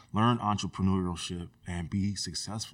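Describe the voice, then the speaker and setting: A man's unremarkable speaking voice, fairly low in pitch, with an American accent, fairly even intonation, and a very clean recording against a silent background. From US West Coast, Sacramento area (California). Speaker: HVAC technician and community group founder. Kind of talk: casual interview conversation.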